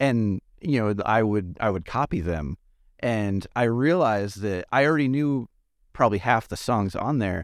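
A man with an American accent and a plain, everyday voice speaks at a moderate pace and fairly low pitch with lively intonation, the sound dry and close with no echo in a very clean recording with a silent background. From US West Coast. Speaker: podcast host. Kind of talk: scripted narration; casual chat.

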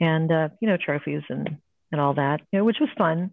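A woman's plain, everyday voice, fairly low in pitch with ordinary pitch variation, at a fairly quick pace in an American accent. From Ohio, US Midwest. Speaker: painter and art instructor. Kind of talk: casual interview.

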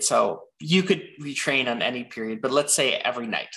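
Bright and sharp in tone, a man speaks with an American accent at a medium pitch. His pace is moderate, and his pitch varies in an ordinary way. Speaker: machine learning director. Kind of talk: interview.

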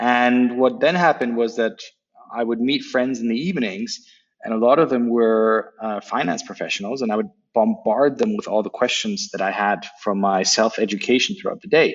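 A man's normal speaking voice, medium in pitch, with an American accent, a moderate pace and lively intonation. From Berlin, Germany (American sector). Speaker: startup founder. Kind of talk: interview.

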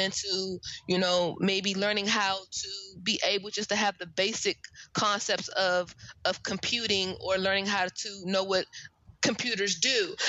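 In an American accent, a woman with a plain, everyday voice speaks at a medium pitch and moderate pace. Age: 30s. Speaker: career coach. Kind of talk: casual interview.

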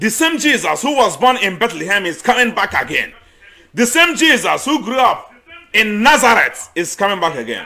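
Over noticeable background noise, a man speaks in a raised, projected voice at an extremely high pitch, fairly slowly, with very wide pitch swings. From eastern Nigeria. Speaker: missionary and agricultural student. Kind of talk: sermon.

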